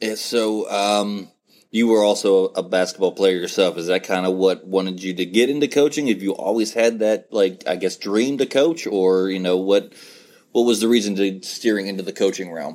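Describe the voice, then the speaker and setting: A man with an American accent speaks at a moderate pace in a fairly low pitch, in a plain, everyday voice. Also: ordinary pitch variation. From West Virginia. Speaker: podcast host. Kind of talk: casual interview.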